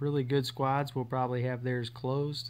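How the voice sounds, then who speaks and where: The speaker is a man with a medium pitch. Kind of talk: game tutorial voiceover. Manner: casual, hesitant with fillers.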